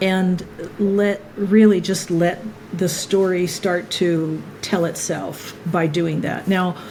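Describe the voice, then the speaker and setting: A woman's monotone, flat voice at a medium pitch and very slow pace, with audible room echo and noticeable background noise. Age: 60s. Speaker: filmmaker. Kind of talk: interview conversation.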